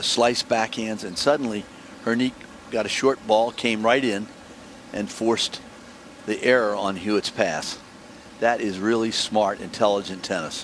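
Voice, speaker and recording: A man's fairly low voice at a moderate pace, with fairly even intonation, long and frequent pauses, and noticeable background noise. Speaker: tennis commentator. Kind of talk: live commentary.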